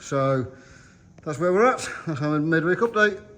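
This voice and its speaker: A man with an English accent, lively in intonation, at a fairly quick pace. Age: 50s. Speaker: stock car racer and vlogger. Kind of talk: casual vlog commentary.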